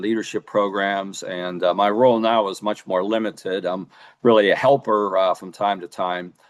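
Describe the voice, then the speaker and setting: Over a quiet background, a man with an American accent speaks in a fairly low pitch with monotone, flat intonation. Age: 70s. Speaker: former state legislator and policy presenter. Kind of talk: webinar presentation. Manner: halting, many filler uhs.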